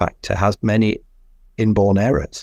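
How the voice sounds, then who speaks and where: On a very clean recording with a silent background, a man talks at a fairly slow pace in a medium pitch. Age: 60s. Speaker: physician. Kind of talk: interview.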